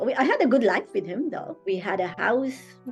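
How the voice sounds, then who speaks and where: A woman's very wide pitch swings over background music. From Philippines. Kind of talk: interview answer. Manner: outspoken, joyous.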